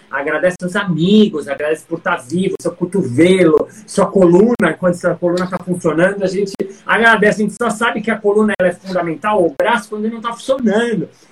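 The speech comes at a fairly quick pace with hardly any pauses over noticeable background noise. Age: 50s. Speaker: stage performer. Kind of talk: casual interview chat.

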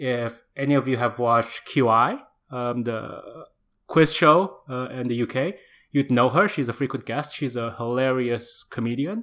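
A man with an Indonesian accent speaks at a medium pitch and moderate pace with ordinary pitch variation. The recording is very clean with a silent background. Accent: Indonesian, international-school English. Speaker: podcast co-host and editor. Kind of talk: casual chat.

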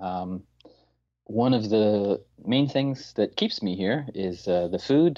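An ordinary speaking voice from a man, fairly low in pitch, fairly slow in pace, with ordinary pitch variation. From Newfoundland, Canada. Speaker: English teacher abroad. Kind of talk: interview. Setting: phone call.

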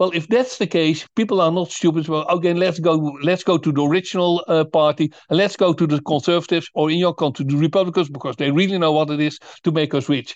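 Over a quiet background, a man with a Dutch accent speaks very fast in a high pitch, with ordinary pitch variation. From Netherlands. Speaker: author and think tank founder. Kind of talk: interview. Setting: remote call. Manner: halting, many repetitions.

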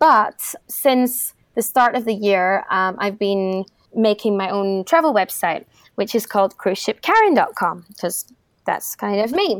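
With a Scottish accent, a woman speaks at a medium pitch and a fairly slow pace, her pitch varying an ordinary amount. The sound is dry and close with no echo, on a very clean recording with a silent background. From Scotland, Edinburgh. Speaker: travel blogger and former cruise ship entertainer. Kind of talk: interview.

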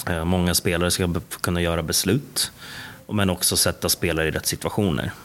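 A man talks at a fairly quick pace in a very deep, low voice with ordinary pitch variation. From Stockholm, Sweden (Bromma). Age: 20s. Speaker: basketball coach. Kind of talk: interview.

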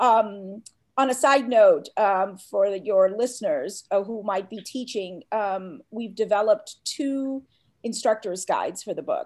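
A woman with an American accent has a plain, everyday voice, fairly high in pitch, with ordinary pitch variation and big swings in loudness. She speaks at a fairly slow pace in a very clean recording with a silent background. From US South, Atlanta, Georgia. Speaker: professor. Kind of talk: interview.

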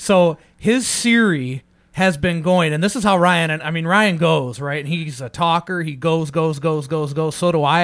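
On a very clean recording with a silent background, a man with a fairly high pitch uses a normal speaking voice at a moderate pace, with ordinary pitch variation and hardly any pauses. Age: 40s. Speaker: podcast host. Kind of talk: casual interview.

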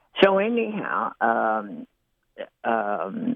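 A man with an Appalachian accent. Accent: Appalachian American. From eastern Kentucky, Perry and Letcher County. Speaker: writer. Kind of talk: reminiscence. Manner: halting with many fillers.

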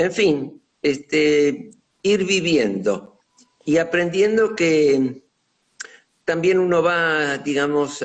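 A man speaks with lively intonation. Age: 90s. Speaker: retired professional, nonagenarian guest. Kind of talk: casual chat. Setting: Instagram live video call.

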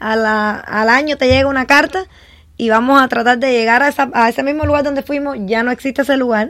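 This woman talks at a fairly quick clip in a high voice. Her intonation stays fairly even. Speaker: tax preparer. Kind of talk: radio panel discussion.

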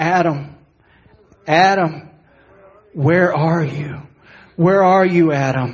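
A man does a put-on character voice, shrill and fairly high-pitched. He talks very slowly, with long, frequent pauses. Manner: piercing, sad, longing.

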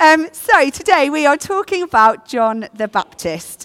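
With an English accent, a woman talks fairly slowly in a high pitch with very wide pitch swings. The sound is dry and close with no echo. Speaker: preacher. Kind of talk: sermon.

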